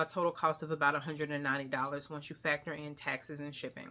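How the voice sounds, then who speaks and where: A woman talks at a very fast pace with a Southern US accent and a bright, sharp tone. The recording is very clean with a silent background. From US South. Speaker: beauty vlogger. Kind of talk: product haul review. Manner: casual, hesitant with fillers.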